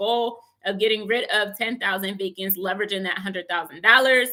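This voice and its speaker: With an American accent, a woman speaks at a medium pitch in a bright, sharp tone and fairly even intonation. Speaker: real estate investor and educator. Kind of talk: livestream talk. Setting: live stream with chat.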